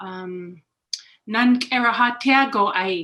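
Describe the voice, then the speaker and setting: A woman speaks with a bright, sharp tone. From Interior Alaska villages. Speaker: Native language teacher. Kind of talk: self-introduction in Native language. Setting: video call. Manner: halting.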